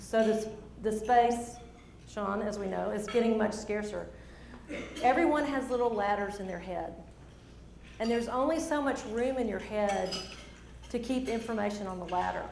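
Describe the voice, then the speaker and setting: A woman's fairly high voice in a strong Southern accent, at a moderate pace with ordinary pitch variation and long, frequent pauses, amid audible room echo and noticeable background noise. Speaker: speaker. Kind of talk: presentation. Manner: animated.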